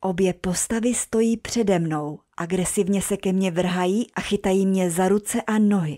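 On a very clean recording with a silent background, a woman with a dark, mellow tone speaks fairly slowly with hardly any pauses and very even loudness. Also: medium pitch for a woman, fairly even intonation, dry, close sound with no echo. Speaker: storyteller. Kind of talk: ghost story telling, first-person horror narration. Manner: hushed, tense, suspenseful narration.

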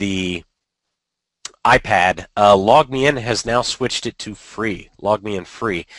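A man with an ordinary speaking voice at medium pitch talks with ordinary pitch variation in a dry, close sound with no echo. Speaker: podcast co-host, educational technology. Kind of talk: casual panel discussion. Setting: video call.

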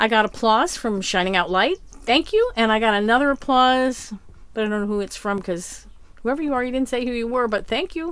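A woman talks at a fairly quick pace. The sound is dry, with no echo. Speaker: vlogger living in a bus. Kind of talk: casual vlog chat. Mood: relieved, grateful, warm. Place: bus. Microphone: phone near.

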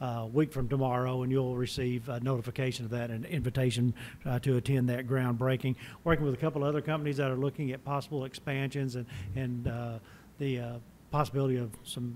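Light background noise sits behind a man talking at a very fast pace. His intonation is monotone and flat. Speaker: chamber representative giving report. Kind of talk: formal report to council. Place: meeting room. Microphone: podium.

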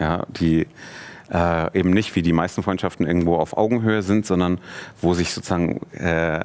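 A man speaks in a very deep, low voice. His intonation is monotone and flat, at a moderate pace. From Munich, Germany. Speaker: film director; guest. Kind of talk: casual interview. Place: studio.

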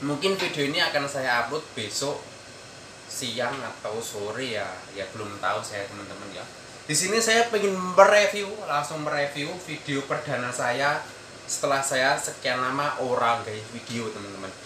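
Noticeable background noise behind a man's moderate-paced speech. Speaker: migrant worker vlogger. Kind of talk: casual vlog chat. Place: home room. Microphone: phone near.

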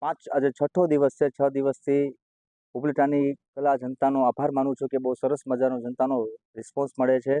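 A man with a fairly high pitch speaks in a dark, mellow tone with monotone, flat intonation, the sound dry and close with no echo. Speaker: stage magician. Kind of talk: interview.

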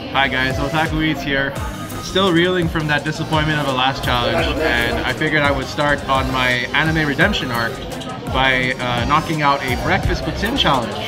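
There is clear music in the background as a man speaks. His pace is moderate, with ordinary pitch variation. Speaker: food challenge vlogger. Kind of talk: casual vlog chat. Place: cafe. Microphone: phone near.

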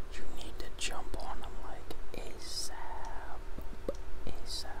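Someone speaks at a very slow pace against loud background noise. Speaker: ASMR YouTuber and gamer. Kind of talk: soft-spoken ASMR talk to camera about game sales. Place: home room. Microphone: studio mic.

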